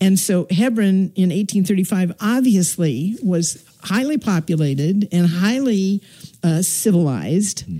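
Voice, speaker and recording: A woman speaks at a medium pitch with a dark, mellow tone. Her voice is somewhat breathy and her pace fairly slow. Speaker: activist. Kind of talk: interview. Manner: halting.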